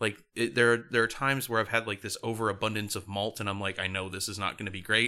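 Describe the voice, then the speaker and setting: On a very clean recording with a silent background, a man with an American accent talks at a very fast pace with hardly any pauses, his bright, sharp tone pitched fairly low with fairly even intonation. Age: 30s. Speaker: podcast co-host. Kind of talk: casual chat.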